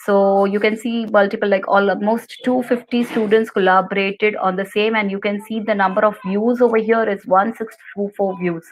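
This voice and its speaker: Over noticeable background noise, a woman at a medium pitch speaks at a moderate pace in a monotone, flat intonation with hardly any pauses. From India, Gujarat. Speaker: computer teacher. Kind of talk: tutorial.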